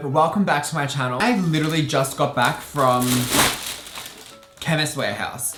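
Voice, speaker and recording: An upbeat tone at a moderate pace comes with an Australian accent and ordinary pitch variation. Music plays in the background. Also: man. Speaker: makeup artist. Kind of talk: casual talk to camera. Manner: upbeat, chatty.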